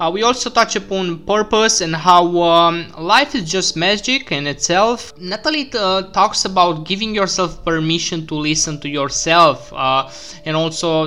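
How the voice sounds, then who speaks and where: A man speaks at a high pitch and a moderate pace. His pitch variation is ordinary, with noticeable background noise. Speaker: podcast host. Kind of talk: interview conversation.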